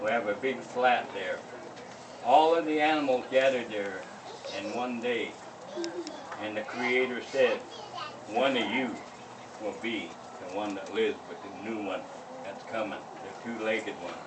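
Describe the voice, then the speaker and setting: Noticeable background noise sits behind a man with an American accent who speaks at a moderate pace and medium pitch, with ordinary pitch variation and long, frequent pauses. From Northern California. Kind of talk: traditional oral storytelling at a ceremony. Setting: outdoors.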